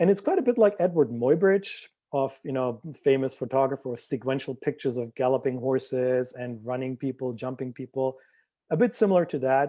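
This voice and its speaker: A man's medium-pitched voice with a non-native accent, a dark, mellow tone, ordinary pitch variation and a fairly quick pace over a quiet background. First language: not English. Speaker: visual artist. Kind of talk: artist talk presentation. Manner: hesitant with fillers.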